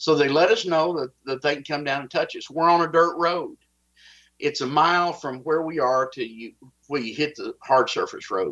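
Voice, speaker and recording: A fairly high-pitched man with a Texas accent, a bright, sharp tone, and big swings in loudness against a quiet background. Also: ordinary pitch variation, moderate pace. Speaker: whistleblower. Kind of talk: interview, personal account.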